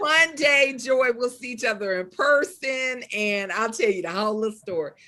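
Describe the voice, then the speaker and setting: A woman with a strong Southern US accent amid noticeable background noise. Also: lively intonation, moderate pace. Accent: deep Southern US. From US South. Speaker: poet and author. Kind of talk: interview. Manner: casual, conversational.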